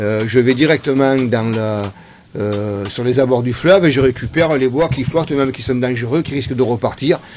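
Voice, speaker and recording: Noticeable background noise sits behind a man who speaks at a moderate pace and medium pitch. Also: ordinary pitch variation. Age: 60s. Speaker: wood sculptor, former cabinetmaker. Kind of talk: interview. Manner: halting, many hesitations.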